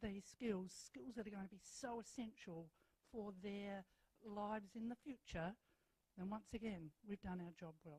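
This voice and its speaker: Dark, mellow tones from a woman with an Australian accent at a medium pitch, the sound dry and close with no echo. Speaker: school principal. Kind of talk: welcome speech. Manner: loud.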